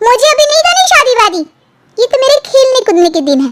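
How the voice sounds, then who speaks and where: A woman puts on a squeaky, cartoonish character voice at an extremely high pitch, with very wide pitch swings. She keeps a fairly quick pace and very even loudness. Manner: dramatic, exclaiming.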